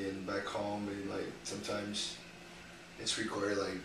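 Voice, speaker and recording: Noticeable background noise and audible room echo accompany a man speaking at a moderate pace in a fairly low voice. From Brazil, Fortaleza (Northeast). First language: Portuguese. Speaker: university student. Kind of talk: interview. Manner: hesitant, many fillers.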